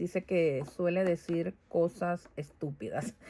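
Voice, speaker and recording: A woman talks with ordinary pitch variation at a very slow pace. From Venezuela. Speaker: vlogger. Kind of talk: casual vlog monologue. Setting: home garage.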